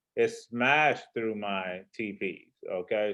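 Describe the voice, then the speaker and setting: Relaxed in tone, a man speaks at medium pitch with ordinary pitch variation. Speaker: forex trader and trading teacher. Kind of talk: trading market overview. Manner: relaxed, casual.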